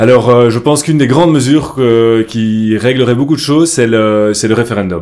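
Fairly quick speech from a man with an ordinary speaking voice, his pitch medium and its variation ordinary. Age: 30s. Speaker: politician and entrepreneur. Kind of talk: casual interview discussion.

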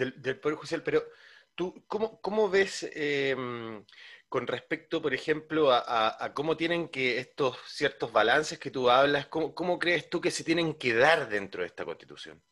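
Pitched fairly high, a man's voice moves with ordinary pitch variation. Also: fairly slow pace. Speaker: interviewer. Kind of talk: interview. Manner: halting, repeats words.

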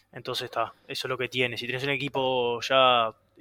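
A man with a Uruguayan accent speaks at medium pitch and a moderate pace in a bright, sharp tone. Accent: Uruguayan Rioplatense Spanish. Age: 20s. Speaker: competitive swimmer. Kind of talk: casual chat.

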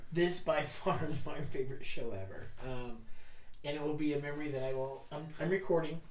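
A man's playful, fairly high-pitched voice at a fairly quick pace, with ordinary pitch variation, over noticeable background noise. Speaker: radio show host, host's father. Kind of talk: casual family chat. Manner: joking, playful.

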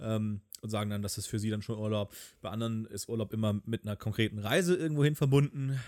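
Very clean and set against a silent background, the recording captures speech at a very fast pace with ordinary pitch variation. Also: man. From Hamburg, northern Germany. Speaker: podcast co-host. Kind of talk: casual chat.

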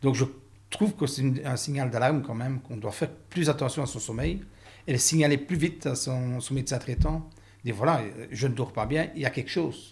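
Somewhat breathy speech at a fairly quick pace, ordinary pitch variation, on a very clean recording with a silent background. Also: man, medium pitch for a man. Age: 60s. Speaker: heart surgery patient. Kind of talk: testimony. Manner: halting.

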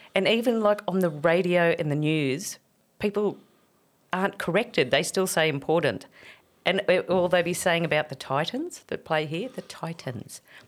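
With an Australian accent, a woman speaks at a moderate pace. Her pitch is fairly low, with ordinary pitch variation. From Australia (Tamworth, NSW). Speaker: podcast host and children's show performer. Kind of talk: casual chat. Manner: animated, laughing often.

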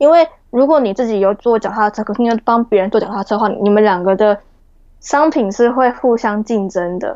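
A woman with a plain, everyday voice speaks at a moderate pace, fairly high in pitch and with ordinary pitch variation. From Taiwan. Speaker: graduate student. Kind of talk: interview.

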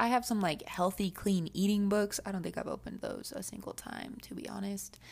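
Delivered at a moderate pace with ordinary pitch variation, the animated tone sits on a very clean recording with a silent background. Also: woman. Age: 20s. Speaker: podcast host. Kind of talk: casual monologue.

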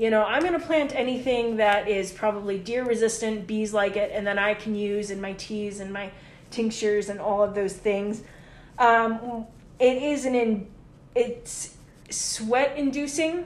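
Fairly high in pitch, a woman speaks at a fairly slow pace in an ordinary speaking voice, with ordinary pitch variation. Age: 30s. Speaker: herbalist. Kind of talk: casual chat.

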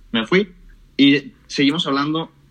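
This is a man speaking. His pitch is fairly high. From Mexico, moved between several cities (Mérida, Monterrey, Guadalajara). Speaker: economics student. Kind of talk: casual chat.

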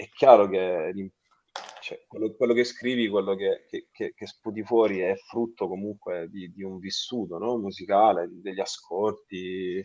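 With a normal speaking voice, a man talks at a fairly slow pace and fairly low pitch, keeping his intonation fairly even while his loudness swings widely. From Salento, Apulia, southern Italy. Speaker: keyboard player in a rock band. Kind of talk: interview.

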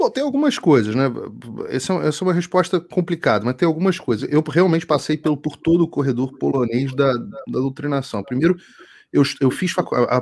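A man with a Carioca accent at a very fast pace over a quiet background. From Rio de Janeiro, Brazil. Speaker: journalist. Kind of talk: casual chat.

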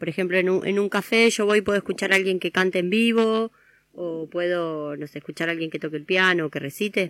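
In a normal speaking voice with ordinary pitch variation, the speaker is heard on a very clean recording with a silent background. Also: woman, medium pitch for a woman. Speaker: radio co-host. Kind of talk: casual chat.

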